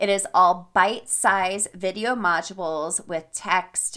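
A woman speaks in an animated tone. Her pitch is medium, with ordinary pitch variation. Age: 40s. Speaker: habit and fitness coach, podcast host. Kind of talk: solo podcast monologue with product pitch.

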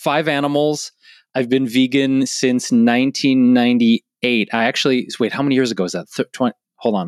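Here a man with an American accent speaks in an ordinary speaking voice at a medium pitch. His pace is moderate and his intonation fairly even. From Detroit, US Midwest. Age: 40s. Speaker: vegan wellness educator and cookbook author. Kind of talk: casual interview. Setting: remote call.

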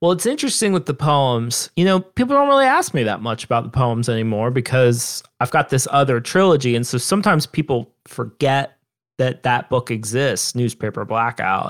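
Talking at a moderate pace with hardly any pauses, a man uses lively intonation in a very clean recording with a silent background. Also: medium pitch for a man. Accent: Southern Ohio. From Southern Ohio, US. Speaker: author. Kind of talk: interview conversation.

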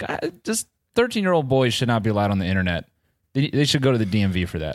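At a very fast pace, a man talks with lively intonation and a medium pitch. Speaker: comedian and producer. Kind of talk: casual banter with stand-up bits.

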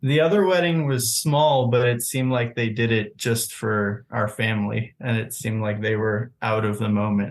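A plain, everyday voice with an American accent, at a moderate pace with hardly any pauses. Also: man, medium pitch for a man, ordinary pitch variation. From US Southeast. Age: 20s. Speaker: caller. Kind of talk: casual chat.

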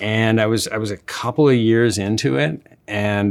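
A man speaks at a moderate pace with a plain, everyday voice. His pitch is fairly low with ordinary pitch variation. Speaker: TV writer. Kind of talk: casual interview chat.

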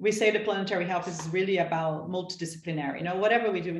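Amid noticeable background noise, a woman talks at a very fast pace with fairly even intonation. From Brazil, São Paulo. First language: Portuguese. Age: 30s. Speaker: sustainability researcher and advocate. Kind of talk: interview. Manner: halting.

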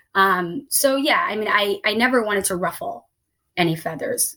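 A woman speaks with a Midwestern accent. Her pace is fairly quick. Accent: American Midwest. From Somalia, raised in Columbus, Ohio (US Midwest). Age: 30s. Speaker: writer and diversity consultant. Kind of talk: interview conversation. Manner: hesitant, many fillers.

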